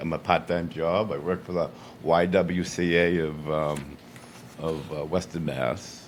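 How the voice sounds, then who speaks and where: A man's very deep, low voice over music in the background. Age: 70s. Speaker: applicant for town board seat. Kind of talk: public meeting remarks. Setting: town board meeting.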